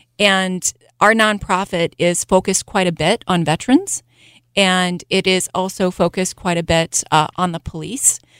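A woman's ordinary speaking voice at medium pitch, moderate pace and fairly even intonation, with a dry, close sound with no echo on a very clean recording against a silent background. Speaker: city council candidate. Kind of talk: radio interview.

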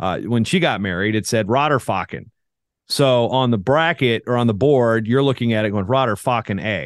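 A man with a normal speaking voice holds very even loudness at a medium pitch, with ordinary pitch variation. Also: moderate pace. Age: 40s. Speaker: wrestling announcer and media personality. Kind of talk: casual chat, interview.

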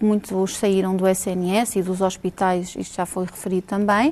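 Here is a woman with a medium-pitched voice. Her tone is dark and mellow. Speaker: internal medicine doctor. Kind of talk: televised panel debate.

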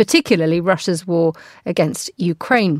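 In a dry, close sound with no echo and a very clean recording over a silent background, a woman with an unremarkable speaking voice talks at a fairly quick pace with lively intonation. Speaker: radio host. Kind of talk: live radio news programme presenting and interviewing. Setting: studio. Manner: polished, formal presenter delivery.

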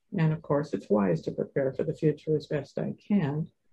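With vocal fry and a dark, mellow tone, a woman talks at a fairly quick pace using lively intonation. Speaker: author and caregiver well-being specialist. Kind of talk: interview conversation with guided exercise.

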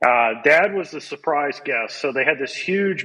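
An ordinary speaking voice from a man, fairly high in pitch, at a moderate pace. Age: 50s. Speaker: business coach and author. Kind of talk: interview.

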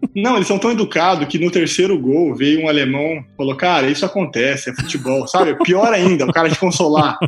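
Over music in the background, a man talks at a fairly quick pace and fairly high pitch, with ordinary pitch variation and hardly any pauses. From Cuiabá, Mato Grosso, Brazil. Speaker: cattle rancher and startup co-founder. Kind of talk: casual interview.

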